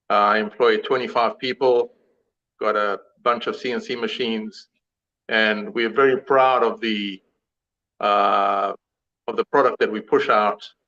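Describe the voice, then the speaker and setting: A man speaks with a South African accent at a fairly slow pace. His speech has long, frequent pauses. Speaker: suspension company founder. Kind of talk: live show interview.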